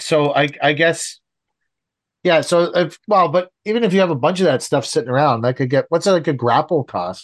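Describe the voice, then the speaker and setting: With a Canadian accent and a normal speaking voice, a man talks at a moderate pace and fairly high pitch, with ordinary pitch variation and very even loudness against a quiet background. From Canada. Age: 50s. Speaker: landscaping contractor podcast host. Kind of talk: casual chat.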